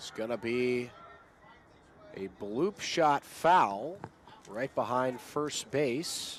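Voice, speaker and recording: Over noticeable background noise, a man talks very slowly at a medium pitch, with lively intonation, big swings in loudness, and long, frequent pauses. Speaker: sports broadcaster, play-by-play announcer. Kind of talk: baseball play-by-play.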